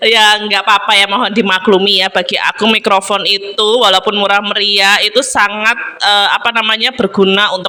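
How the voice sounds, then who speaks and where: A woman speaks at a moderate pace in a medium pitch. Noticeable background noise runs behind her. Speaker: vlogger. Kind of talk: mukbang voice-over chat. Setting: family room at home. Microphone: no microphone, voiceover recorded separately; echoey room.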